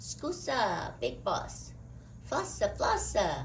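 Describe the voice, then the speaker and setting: Clear background noise sits behind a put-on character voice that moves at a very slow pace. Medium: read story. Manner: babbling mock-Italian gibberish.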